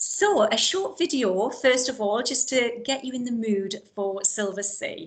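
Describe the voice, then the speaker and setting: Music plays in the background as a woman with a Geordie accent talks at a fairly slow pace with lively intonation. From Newcastle area, northeast England. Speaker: cruise line account manager. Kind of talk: virtual event presentation. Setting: online virtual event.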